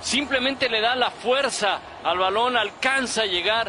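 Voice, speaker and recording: Over noticeable background noise, a man uses a raised, projected voice at a moderate pace with ordinary pitch variation. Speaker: sports analyst co-commentator. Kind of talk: sports commentary, analysis of replays. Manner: explanatory, measured analyst tone.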